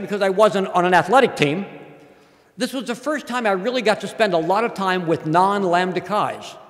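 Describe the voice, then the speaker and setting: Over noticeable background noise, a man with a high pitch talks at a fairly quick pace with lively intonation. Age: 60s. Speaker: professor. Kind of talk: speech.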